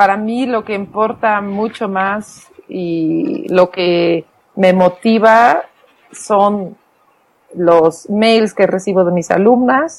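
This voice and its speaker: A woman speaks very slowly in a Flemish accent, her pitch moving in an ordinary way. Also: medium pitch for a woman. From Belgium, Flemish-speaking. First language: Flemish (speaking Spanish). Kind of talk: interview.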